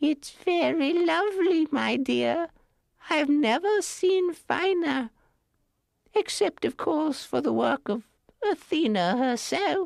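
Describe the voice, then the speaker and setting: Put-on character voice, high in pitch and fairly slow in pace. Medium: read story. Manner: gentle, knowing.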